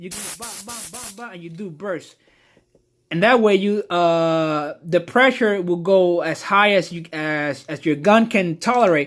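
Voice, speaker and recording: A man with a Puerto Rican accent speaks at a fairly slow pace in a high pitch with ordinary pitch variation. The recording is very clean, with a silent background. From Puerto Rico. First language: Spanish. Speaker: car detailer. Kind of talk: tutorial. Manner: casual, halting with fillers.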